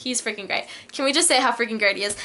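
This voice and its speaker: In a raised, projected voice, a woman talks at a very fast pace with a high pitch. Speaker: vlogger. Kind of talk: casual chat. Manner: animated.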